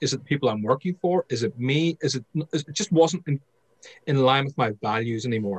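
A man's somewhat breathy, fairly high voice with lively intonation at a moderate pace, in a dry, close sound with no echo. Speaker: sales trainer and author. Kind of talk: interview.

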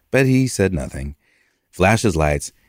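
On a very clean recording with a silent background, a man with an American accent and vocal fry speaks with very wide pitch swings. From New York. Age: 50s. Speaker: artist. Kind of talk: interview. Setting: studio.

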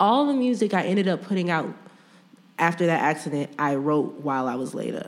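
With an American accent, a woman of fairly low pitch talks at a fairly quick pace, her pitch swinging very widely. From US Midwest, St. Louis. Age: 30s. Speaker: musician. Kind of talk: casual chat.

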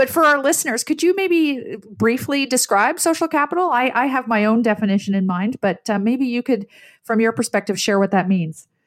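A woman with a Canadian accent speaks at a high pitch with very wide pitch swings. She keeps a fairly quick pace at a very even loudness, with hardly any pauses. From Canada, Ottawa. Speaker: podcast host, leadership program founder. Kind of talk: interview.

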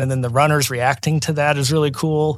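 This man has an unremarkable speaking voice with an American accent, pitched fairly high. The recording is very clean, with a silent background. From Oklahoma City. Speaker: town mayor. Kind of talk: casual interview.

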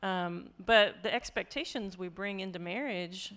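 An unremarkable speaking voice at a moderate pace comes through in a very clean recording with a silent background. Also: woman. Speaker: mental health counselor. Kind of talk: casual chat.

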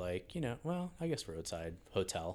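Moderate pace and ordinary pitch variation, in an American accent. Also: man. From New York, Hastings-on-Hudson. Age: 50s. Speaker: real estate agent and former creative director. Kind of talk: casual chat. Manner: dry.

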